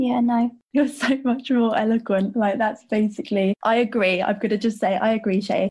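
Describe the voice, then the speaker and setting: The voice is somewhat breathy, with a warm, enthusiastic tone and very even loudness throughout. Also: woman, fairly high pitch for a woman, moderate pace, hardly any pauses. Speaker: podcast host. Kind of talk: interview.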